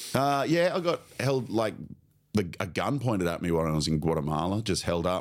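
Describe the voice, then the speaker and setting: A man's very deep, low voice with an Australian accent, very wide pitch swings, very even loudness and a fairly quick pace. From Australia, Queensland (Sunshine Coast). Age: 30s. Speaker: comedian and teacher. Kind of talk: casual chat.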